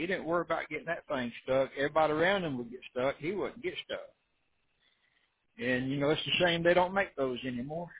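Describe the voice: A man's fairly high voice with a husky, rough edge, ordinary pitch variation and a fairly quick pace.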